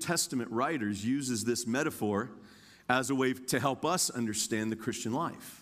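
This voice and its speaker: In an unremarkable speaking voice with an American accent, a man talks at a moderate pace with ordinary pitch variation and very even loudness, on a very clean recording with a silent background. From Indiana, US Midwest. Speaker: guest preacher. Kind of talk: sermon. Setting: church.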